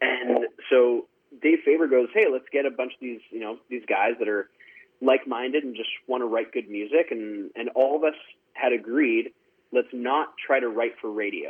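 A man's medium-pitched voice in a western Canadian accent, at a moderate pace with fairly even intonation. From Canada, Surrey, British Columbia. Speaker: country singer. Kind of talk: interview. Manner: halting, filler-heavy.

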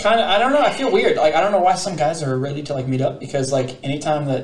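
A man with a fairly high pitch talks very fast. There is music in the background, and his pitch varies in an ordinary way. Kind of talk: casual chat. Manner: mumbling.

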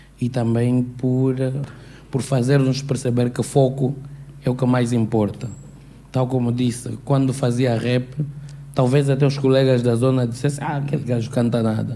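This man has a dark, mellow tone and a monotone, flat intonation. He leaves long, frequent pauses. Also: medium pitch for a man, moderate pace. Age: young. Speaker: audience member. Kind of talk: audience question.

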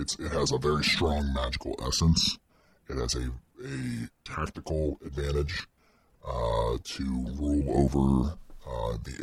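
A put-on character voice from a man, very deep and low, at a fairly slow pace with long, frequent pauses. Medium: actual play. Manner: gentle, reassuring; grave, explanatory.

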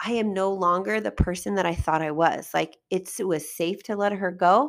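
An unremarkable speaking voice at a moderate pace shows ordinary pitch variation on a very clean recording with a silent background. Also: woman. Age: 40s. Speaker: life coach and podcast host. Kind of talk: solo podcast monologue.

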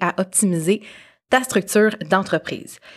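Speaking with a Quebec accent, a woman uses a medium pitch and ordinary pitch variation at a fairly slow pace. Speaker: podcast host, marketing strategist. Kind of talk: casual interview; scripted intro. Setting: studio.

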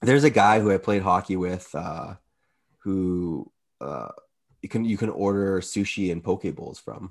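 A man with a plain, everyday voice speaks fairly slowly at a fairly low pitch, with ordinary pitch variation and big swings in loudness against a quiet background. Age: 30s. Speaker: podcast co-host. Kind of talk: casual chat.

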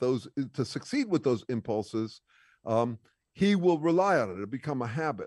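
A man with lively intonation, in a dry, close sound with no echo and a quiet background. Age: 60s. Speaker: author and researcher. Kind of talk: interview. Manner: halting.

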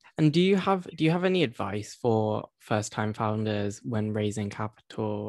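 A man with a plain, everyday voice at a fairly slow pace. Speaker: podcast host. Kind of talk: interview conversation.

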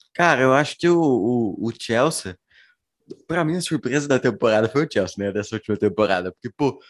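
This man has a plain, everyday voice at medium pitch, with lively intonation and a moderate pace. The background is quiet. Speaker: football podcast host. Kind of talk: casual chat.

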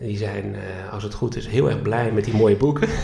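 Noticeable background noise and audible room echo surround the speaker. He is a man with a fairly low pitch. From Netherlands, Groningen area. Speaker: flamenco guitarist and educational content developer. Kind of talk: interview, personal story. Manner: halting, many filler sounds.

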